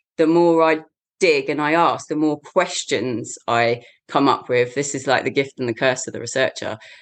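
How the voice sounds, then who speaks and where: A woman with a very deep, low pitch and an English accent, ordinary pitch variation, moderate pace, and a quiet background. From England, the shires. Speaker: Tai Chi teacher and mental health support worker. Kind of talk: casual interview.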